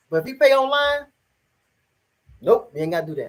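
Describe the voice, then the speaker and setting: A woman with an American accent talks at a very fast pace. Her fairly high pitch carries vocal fry. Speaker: lifestyle vlogger. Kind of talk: casual livestream chat. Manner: rambling, halting with stutters.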